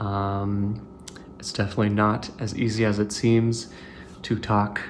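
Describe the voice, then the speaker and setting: A man speaks at a very slow pace in a fairly low pitch, with audible room echo. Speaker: tech hobbyist YouTuber. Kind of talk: casual show-and-tell video narration. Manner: monotone; hesitant, many filler words.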